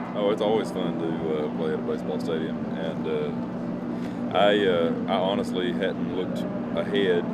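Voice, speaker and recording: There is loud background noise. A man is speaking. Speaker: interviewee. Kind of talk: interview answer. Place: street. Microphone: handheld.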